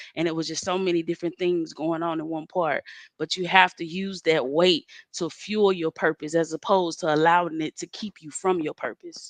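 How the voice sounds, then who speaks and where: A woman's fairly low voice with a Southern US accent, monotone and flat, at a moderate pace, dry and close with no echo. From Mississippi, Moss Point. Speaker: spoken word poet. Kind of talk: interview.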